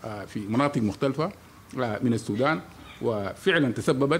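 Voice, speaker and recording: A man talks with ordinary pitch variation against light background noise. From Sudan. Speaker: meteorology official. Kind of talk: press conference briefing. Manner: halting, many pauses. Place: hall. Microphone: podium.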